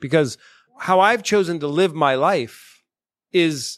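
This is a normal speaking voice with lively intonation. The background is quiet. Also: man. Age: 40s. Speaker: podcast guest, former program participant. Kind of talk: casual chat. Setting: in-person studio recording in Boston.

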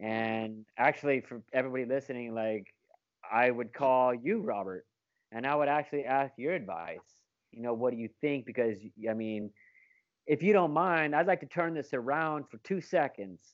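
A man with an American accent talks at a moderate pace and medium pitch, an ordinary speaking voice with lively intonation. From Alaska. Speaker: real estate agent and developer. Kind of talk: casual interview.

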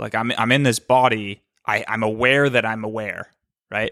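This man speaks with an American accent at a medium pitch and moderate pace. His tone is bright and sharp, his intonation fairly even, and the sound dry and close with no echo. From US Northeast, Cape Cod, Massachusetts. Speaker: entrepreneur and YouTuber. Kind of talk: casual interview chat.

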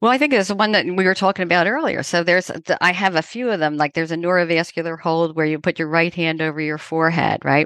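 Very fast speech from a woman with a fairly low pitch comes through a dry, close sound with no echo and a quiet background. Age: 50s. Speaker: trauma therapist. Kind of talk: interview. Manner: halting.

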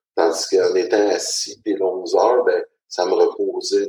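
Dry, close sound with no echo carries a man speaking at a fairly slow pace. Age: 40s. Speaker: transport operations supervisor. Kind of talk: personal testimony. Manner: hesitant, many fillers.

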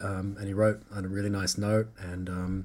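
A man speaks in a monotone with flat intonation and a New Zealand accent. The recording is very clean, with a silent background. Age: young. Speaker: film composer. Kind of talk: casual chat.

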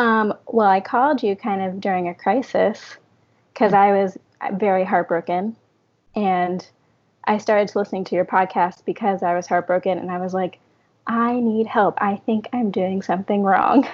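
A woman speaks at a moderate pace in an unremarkable speaking voice, medium in pitch, with fairly even intonation. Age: 30s. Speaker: coaching client. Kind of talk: interview.

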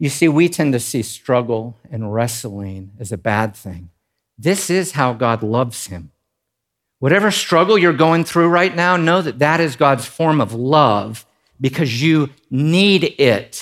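A man speaks with an animated tone at a fairly slow pace and a fairly high pitch. His pitch swings very widely, and the recording is very clean with a silent background. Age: 40s. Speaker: pastor. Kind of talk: sermon. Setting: church.

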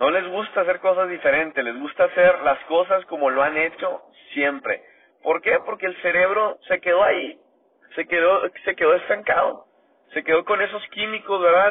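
At a moderate pace, a man with a high voice speaks with ordinary pitch variation. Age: 30s. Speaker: motivational podcaster. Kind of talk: motivational monologue. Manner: animated.

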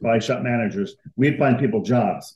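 At a moderate pace, a man talks in an unremarkable speaking voice at a medium pitch. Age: 60s. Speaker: automotive paint sales rep. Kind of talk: casual interview.

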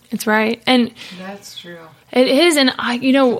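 At a moderate pace, a woman speaks in an Ohio accent with ordinary pitch variation. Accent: Midwestern US (Ohio). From Ohio, Cincinnati. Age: 30s. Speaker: worship pastor. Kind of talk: casual interview chat.

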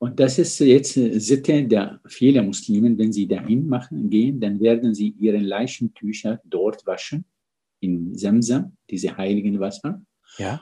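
In an Arabic accent, a man speaks at a fairly slow pace, his dark, mellow voice at a medium pitch with ordinary pitch variation. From Syria, Damascus. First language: Arabic (speaking German). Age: 60s. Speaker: physician and medical ethicist. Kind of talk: interview.

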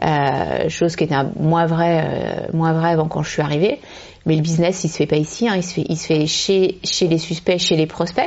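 At a moderate pace, a woman with a plain, everyday voice speaks in a fairly low pitch with fairly even intonation. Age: 30s. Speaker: company managing director. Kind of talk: interview. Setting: at her company premises.

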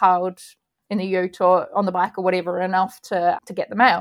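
The recording is very clean, with a silent background. A woman speaks at a medium pitch with an Australian accent. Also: dry, close sound with no echo. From Australia, rural outside Sydney. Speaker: magazine publisher and editor. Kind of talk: interview conversation.

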